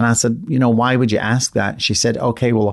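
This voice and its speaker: Against a quiet background, a man speaks with a Scottish accent. His pitch sits fairly low. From Scotland. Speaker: floral designer. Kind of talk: interview.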